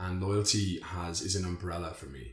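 A man with an Irish accent speaks at a very deep, low pitch. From Ireland. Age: 30s. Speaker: men's circle organiser, finance and tech professional. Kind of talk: casual podcast interview.

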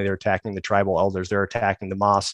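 Dry and close with no echo, a man's voice sits at a fairly low pitch with an American accent. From US Midwest, Chicago. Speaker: Marine sniper veteran. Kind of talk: interview storytelling.

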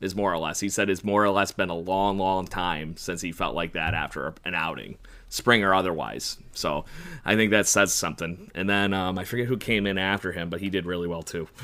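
A man speaks at a fairly quick pace with a very deep, low pitch and a bright, sharp tone. His intonation is fairly even, and the recording is very clean with a silent background. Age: 30s. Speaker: sports podcast co-host. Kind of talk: casual chat.

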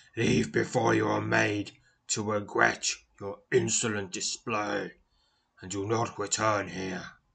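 A man puts on a growling character voice, pitched fairly low and delivered at a fairly slow pace. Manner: threatening, growling.

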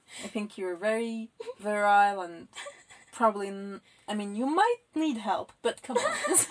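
Fairly high in pitch, a woman uses an ordinary speaking voice at a fairly slow pace. Her loudness swings widely while her pitch variation stays ordinary. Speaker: podcast co-host. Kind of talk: casual chat.

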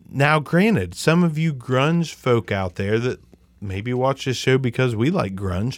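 A man with an ordinary speaking voice talks at a fairly slow pace and medium pitch, his intonation lively. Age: 40s. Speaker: podcast host. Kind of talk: casual chat. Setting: home podcast stream. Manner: casual, profane, joking.

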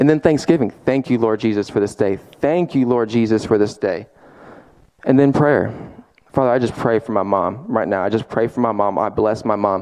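This man's voice sits at a medium pitch with ordinary pitch variation. His tone is animated. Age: 20s. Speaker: young guest preacher. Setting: church service. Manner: fervent, emphatic preaching with rapid repetitions and filler 'I mean'; restless and animated, moving back and forth while speaking.

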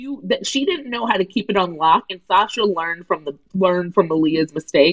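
Speaking in an ordinary speaking voice with an American accent, a woman talks fairly quickly at a medium pitch, her intonation lively and her pauses hardly any. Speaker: comedy writer and radio host. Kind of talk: casual chat.

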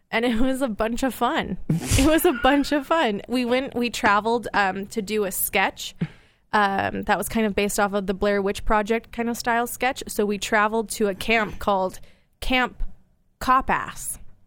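A woman speaks at a moderate pace with a fairly high pitch and ordinary pitch variation in an unremarkable speaking voice. The recording is very clean, with a silent background. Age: 20s. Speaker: podcast guest, TV show producer. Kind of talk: casual interview chat. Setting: studio.

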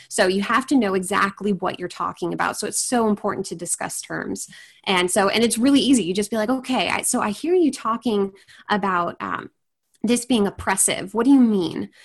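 Against a quiet background, a woman with an American accent, a medium pitch and a somewhat breathy voice speaks at a fairly quick pace with ordinary pitch variation. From Washington State. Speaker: apologist and writer, podcast co-host. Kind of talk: interview conversation.

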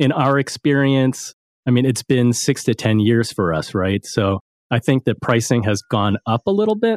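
This man has an unremarkable speaking voice at medium pitch, moving at a moderate pace with lively intonation. The sound is dry and close with no echo, and the recording is very clean with a silent background. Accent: American. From US East Coast. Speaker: financial advisor and podcast host. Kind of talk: interview.

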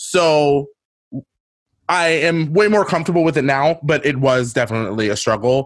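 A man with a normal speaking voice, fairly high in pitch, at a moderate pace and with very even loudness. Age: 30s. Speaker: drag queen and podcaster. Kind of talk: casual interview chat.

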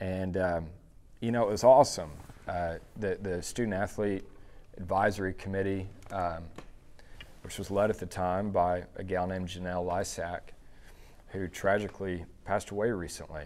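A man with an American accent speaks at a very deep, low pitch and a moderate pace. His intonation is fairly even, and he pauses long and often. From Dallas, Texas. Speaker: entrepreneur. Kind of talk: interview.

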